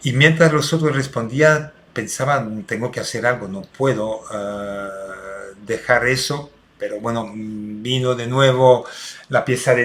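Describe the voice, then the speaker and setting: The speaker is a man. He talks at a fairly slow pace with fairly even intonation. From Belgium. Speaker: restorative justice consultant. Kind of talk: recorded talk for online seminar. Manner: hesitant with many fillers.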